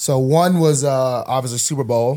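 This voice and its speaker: The man's voice sits fairly high. He talks very slowly. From Alabama. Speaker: football player and co-host. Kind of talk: casual chat.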